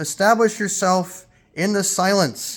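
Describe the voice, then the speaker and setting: A man talks loudly at a high pitch. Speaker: spiritual teacher. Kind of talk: spiritual talk. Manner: emphatic.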